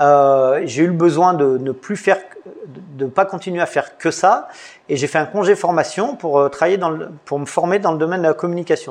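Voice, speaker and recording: A man's fairly high voice at a fairly quick pace, with ordinary pitch variation and big swings in loudness. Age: 50s. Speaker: judo coach and website founder. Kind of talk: interview. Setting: in a dojo. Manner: halting.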